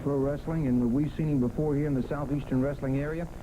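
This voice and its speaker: Flat, monotone speech rushes at a very fast pace over noticeable background noise. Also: man. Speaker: wrestling TV host. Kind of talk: wrestling TV broadcast hosting.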